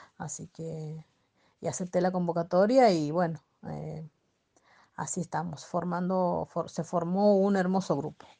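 A woman speaks at a fairly low pitch with a dark, mellow tone and big swings in loudness. Long, frequent pauses break her speech against a quiet background. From Argentina, Santiago del Estero. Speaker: railway cleaner and volleyball team captain. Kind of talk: radio interview. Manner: halting, many fillers.

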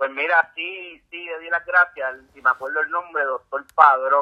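A man talks with a Puerto Rican accent and fairly even intonation. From Puerto Rico, San Juan. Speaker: ultramarathon swimmer. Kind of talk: interview. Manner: halting.

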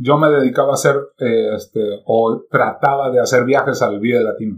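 Using a plain, everyday voice, a man talks at a medium pitch with ordinary pitch variation. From Mexico. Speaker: internet radio and podcast producer. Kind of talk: casual chat.

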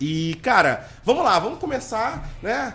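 A loud male voice with very wide pitch swings, amid noticeable background noise. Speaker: podcast host. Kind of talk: casual interview. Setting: studio with cameras.

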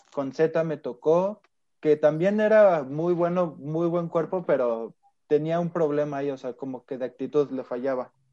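Dark and mellow in tone, the voice moves at a fairly slow pace with ordinary pitch variation. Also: man, fairly high pitch for a man. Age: 20s. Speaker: American football player. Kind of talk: interview.

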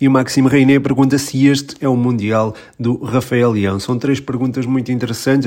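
The man's pitch is medium and his intonation fairly even. He keeps a moderate pace. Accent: European Portuguese. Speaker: football podcast host. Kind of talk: Q&A podcast monologue. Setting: changed recording location mid-episode. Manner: hesitant, with filler sounds.

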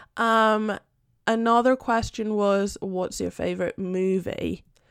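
In a Spanish accent, the speaker goes at a very slow pace with fairly even intonation on a very clean recording with a silent background. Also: woman. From Spain, Madrid. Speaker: podcast host. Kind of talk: casual chat.

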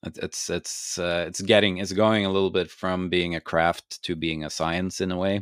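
A man with a Norwegian accent speaks in a very deep, low pitch and a monotone, flat intonation at a moderate pace with hardly any pauses. The recording is very clean with a silent background and a dry, close sound with no echo. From Norway. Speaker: beer expert and podcaster. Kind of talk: interview. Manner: halting, many fillers and repeats.

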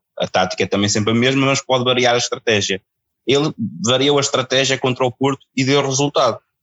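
The speech moves at a very fast pace with fairly even intonation. Loudness stays very even throughout. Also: man, medium pitch for a man. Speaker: caller. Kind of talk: casual chat.

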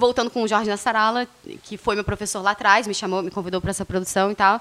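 Noticeable background noise fills the clip. A woman with a fairly high pitch talks at a very fast pace with fairly even intonation. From Rio de Janeiro, Brazil. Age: 30s. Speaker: radio presenter. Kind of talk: casual interview.

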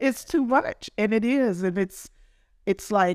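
A woman with an ordinary speaking voice talks at a moderate pace with lively intonation, the sound dry and close with no echo. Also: very clean recording, silent background. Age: 60s. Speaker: hairstylist and salon owner. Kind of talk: casual interview conversation.

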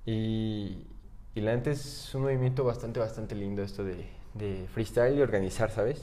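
A man speaks at medium pitch with fairly even intonation. Audible room echo surrounds the voice. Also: moderate pace. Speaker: freestyle rap league organizer. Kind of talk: casual chat.

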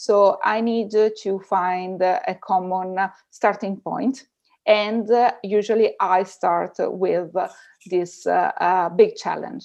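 At a very slow pace, a woman with an Italian accent speaks at medium pitch with ordinary pitch variation against a quiet background. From Italy. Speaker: researcher and data ethics teacher. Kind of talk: interview. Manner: halting.

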